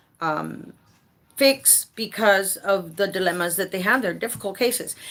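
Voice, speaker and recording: An American woman with an animated, bright, sharp tone talks at medium pitch. Her pace is moderate, and she has an American accent. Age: 40s. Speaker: home care advocate and consultant. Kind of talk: casual livestream talk. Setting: livestream. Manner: animated, repetitive.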